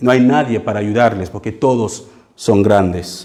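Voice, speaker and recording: This man speaks with a non-native accent. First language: not Spanish (speaking Spanish). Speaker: pastor. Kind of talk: sermon. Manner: halting, with frequent fillers and repeats.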